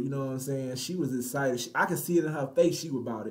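The man's voice comes across as somewhat breathy. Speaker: dating advice commentator. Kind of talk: commentary. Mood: confident, boastful. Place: home room.

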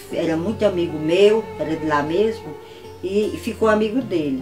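Clear music plays in the background as a woman talks at a moderate pace with lively intonation. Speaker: wife of a centenarian former military policeman. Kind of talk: interview answer. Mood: warm, animated storytelling. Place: home room.

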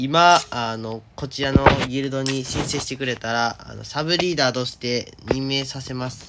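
Hardly pausing, a man at medium pitch talks at a moderate pace with fairly even intonation over noticeable background noise. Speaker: game video creator. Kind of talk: casual talk about a mobile game. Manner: natural speaking voice, not put on.

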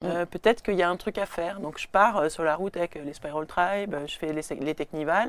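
Fairly quick, with hardly any pauses, a woman's fairly low voice with ordinary pitch variation and a dry sound with no echo. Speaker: burlesque performer and singer. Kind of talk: casual chat. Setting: studio.

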